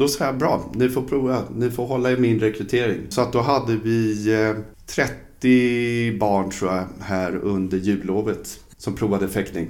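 Audible room echo surrounds a man speaking at a fairly slow pace. His pitch is fairly low, with ordinary variation. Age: 50s. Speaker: fencing coach. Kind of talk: casual chat.

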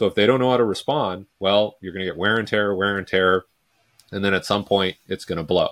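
With a Canadian accent and a plain, everyday voice, a man talks at a fairly quick pace and a fairly low pitch with fairly even intonation, the sound dry and close with no echo. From Vancouver, Canada. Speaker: sports speed coach. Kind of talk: casual interview.

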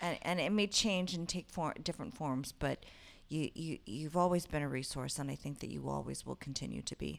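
A woman with a very deep, low pitch speaks at a fairly quick pace with vocal fry. The recording is very clean, with a silent background. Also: ordinary pitch variation. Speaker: podcast co-host interviewer. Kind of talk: casual interview chat.

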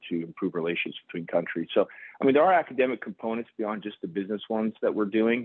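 A man talks with an American accent. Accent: sounds fully American. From Houston and Saudi Arabia. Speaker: vascular surgeon and hospital executive. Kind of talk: interview. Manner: hesitant, many fillers.

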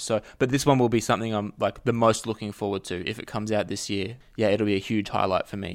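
In a very clean recording with a silent background, a man with an Australian accent delivers his lines fairly quickly in a flat monotone at a fairly low pitch. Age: 30s. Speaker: author and journalist. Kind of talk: casual chat.

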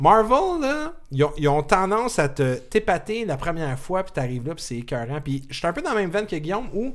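Delivery comes at a fairly quick pace with hardly any pauses and very wide pitch swings. The recording is very clean and the background silent. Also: man, high pitch for a man. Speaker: podcast host. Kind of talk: casual chat.

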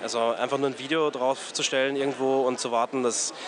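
A man speaks at a moderate pace and medium pitch, his intonation monotone and flat. Noticeable background noise sits behind him. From Austria, Graz. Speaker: agency head. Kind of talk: interview. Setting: outdoors in a courtyard. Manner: halting, many fillers.

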